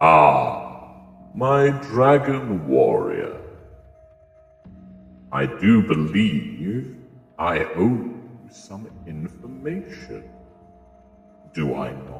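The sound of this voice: Using a put-on character voice at a fairly low pitch, a man speaks at a very slow pace with long, frequent pauses, and a clear echo surrounds him.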